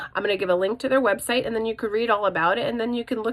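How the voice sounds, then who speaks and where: This speaker goes at a very fast pace with ordinary pitch variation. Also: woman. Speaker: vlogger. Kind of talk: casual vlog. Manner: animated.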